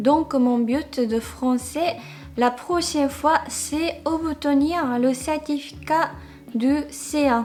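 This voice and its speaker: Very slowly, a woman with a high pitch speaks over noticeable background noise. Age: 30s. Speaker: vlogger. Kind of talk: casual talk to camera.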